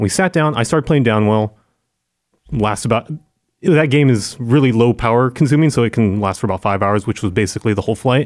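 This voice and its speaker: A man with an American accent has an unremarkable speaking voice at medium pitch, with ordinary pitch variation. He talks at a fairly quick pace on a very clean recording with a silent background. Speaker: video producer, former games media staffer. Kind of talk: casual chat. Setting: studio.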